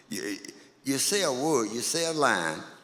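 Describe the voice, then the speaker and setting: A man speaks with an American accent and very wide pitch swings. Audible room echo surrounds his voice. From Louisiana. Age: 80s+. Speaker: blues musician. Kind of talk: interview.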